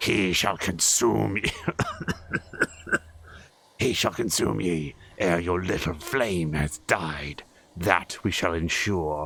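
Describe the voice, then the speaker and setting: Using a put-on character voice, a man speaks very slowly in a very deep, low, strained voice with a menacing tone and long, frequent pauses. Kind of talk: archaic.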